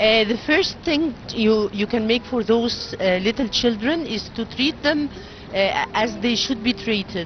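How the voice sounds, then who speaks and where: Speaking with an Arabic accent at a fairly slow pace, a woman shows ordinary pitch variation, in a dry sound with no echo and light background noise. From Egypt. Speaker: engineer and NGO board member. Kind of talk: interview. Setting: studio. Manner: halting. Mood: earnest, committed. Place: boat. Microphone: handheld.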